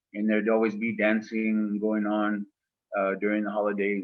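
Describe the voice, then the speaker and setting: Here a man talks with an American accent. His pitch is fairly low and his pace moderate. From northern Arizona (Winslow, Holbrook), Laguna Pueblo/Hopi family. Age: 60s. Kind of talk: gallery talk. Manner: halting, many fillers.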